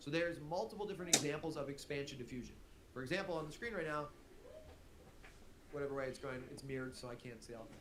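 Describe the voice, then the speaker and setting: Someone speaks with an American accent and ordinary pitch variation in a room with audible echo. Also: man. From US Midwest. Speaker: teacher streaming test review. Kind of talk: live-streamed exam review lesson. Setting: livestream. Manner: animated, conversational.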